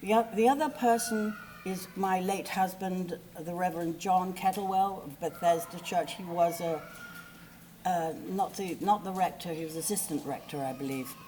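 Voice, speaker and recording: Noticeable background noise sits behind a woman speaking. She keeps a moderate pace with ordinary pitch variation. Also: medium pitch for a woman, big swings in loudness. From England. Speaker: eulogy speaker, friend of the deceased. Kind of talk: eulogy. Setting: memorial service. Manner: animated; halting.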